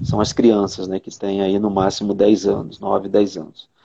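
This man's tone is dark and mellow. He speaks at a moderate pace. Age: 50s. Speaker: psychologist. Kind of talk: casual chat. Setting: video call.

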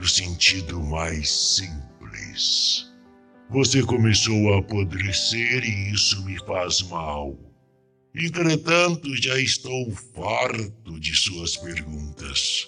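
Over faint background music, a man in a put-on character voice drawls at a very slow pace with a fairly low pitch and a tired, bored tone. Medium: read story. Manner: tired, bored, impatient.

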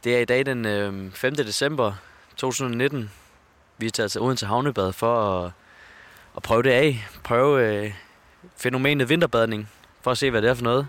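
Pausing long and often, a man speaks at a fairly slow pace and medium pitch with ordinary pitch variation. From Denmark, Funen. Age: 20s. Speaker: journalism student and podcast host. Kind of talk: casual chat. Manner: halting.

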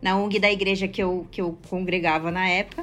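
A woman is speaking. Her pace is moderate. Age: 30s. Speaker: fashion social project founder. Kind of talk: interview.

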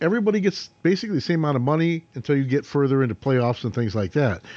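A man with a fairly high pitch talks at a very fast pace, his voice making very wide pitch swings. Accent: American. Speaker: sports talk show host. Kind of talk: casual chat.

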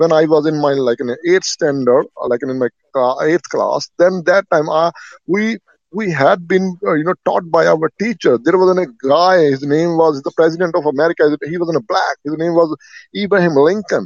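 Here is a man with an Indian accent and a high pitch. His pitch varies in an ordinary way. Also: moderate pace. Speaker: caller. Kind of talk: casual opinionated conversation. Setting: phone call.

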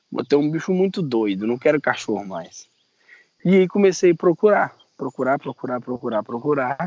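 Moving through very wide pitch swings, a man speaks at a moderate pace with a fairly high pitch. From Minas Gerais, Brazil. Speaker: biologist and reptile breeder. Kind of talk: interview.

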